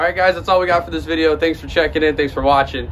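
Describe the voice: A man speaks at a fast pace and a fairly high pitch. His tone is fairly bright and his intonation fairly even.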